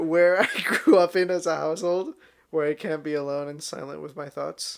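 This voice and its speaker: Big swings in loudness mark this man's fairly high voice, which moves at a moderate pace with fairly even intonation. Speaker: podcast co-host. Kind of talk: casual chat.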